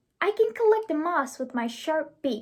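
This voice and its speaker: Someone uses a squeaky, put-on character voice. The delivery moves at a moderate pace. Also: woman, extremely high pitch for a woman. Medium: read story.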